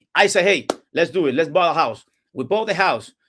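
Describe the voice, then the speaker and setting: On a very clean recording with a silent background, a man with a Cuban accent speaks fairly quickly at a high pitch in a bright, sharp tone. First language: Spanish. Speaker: real estate investor. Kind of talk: interview. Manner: halting.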